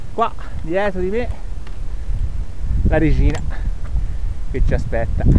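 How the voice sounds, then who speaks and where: A man at a fairly slow pace, in a dry sound with no echo and noticeable background noise. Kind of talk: casual vlog chat. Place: open country. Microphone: phone near.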